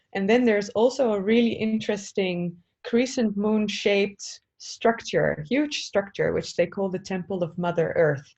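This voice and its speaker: With an ordinary speaking voice, a woman talks at a moderate pace and medium pitch, showing ordinary pitch variation and hardly any pauses. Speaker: spiritual sound healer. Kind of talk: interview.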